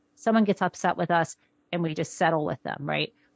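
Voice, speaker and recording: Lively intonation colors a woman's speech at a very fast pace. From US Midwest. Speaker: author. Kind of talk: interview.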